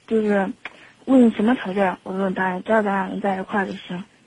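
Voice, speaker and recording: A woman is speaking. Her pace is fairly quick. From Xinxiang, Henan, China. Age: 20s. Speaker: radio call-in caller. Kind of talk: phone-in advice conversation. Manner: halting, many hesitations.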